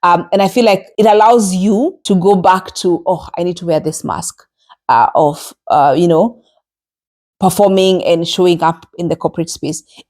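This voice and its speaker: A woman with a Kenyan accent talks at a moderate pace, her medium pitch showing ordinary variation. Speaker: podcast host. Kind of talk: solo podcast monologue. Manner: conversational with frequent hesitations.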